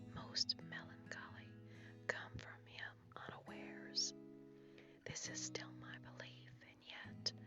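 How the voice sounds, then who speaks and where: Whispering at a very slow pace with long, frequent pauses, the voice is heard over music in the background. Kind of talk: ASMR reading of literary essay. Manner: whispered.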